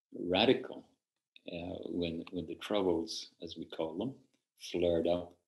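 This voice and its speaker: A man with a Northern Irish accent, a very deep, low pitch, and a fairly slow pace over a quiet background. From Belfast, Northern Ireland. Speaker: Zen teacher. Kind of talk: interview answer. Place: home room. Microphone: video call.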